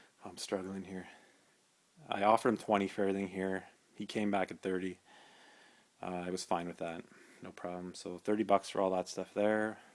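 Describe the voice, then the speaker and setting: A man's very deep, low voice, monotone and flat, at a fairly quick pace with long, frequent pauses. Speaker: retro game collector. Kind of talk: casual talk to camera. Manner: hesitant, many filler words.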